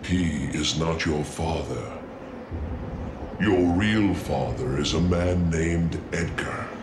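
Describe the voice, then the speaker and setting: Over loud background noise, a man uses a put-on character voice with very deep, low pitch at a very slow pace. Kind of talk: solemn prophetic speech. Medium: fan dub. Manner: calm, grave, measured.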